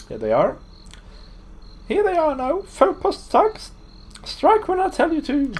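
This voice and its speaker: Squeaky and extremely high-pitched, a put-on character voice moves at a fairly slow pace with long, frequent pauses over light background noise. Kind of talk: comic overacting. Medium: game stream. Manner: haughty, theatrical.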